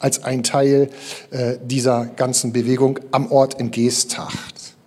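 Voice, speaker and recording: Through noticeable background noise comes a man's voice at a medium pitch. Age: 50s. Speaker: pastor. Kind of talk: sermon. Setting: church.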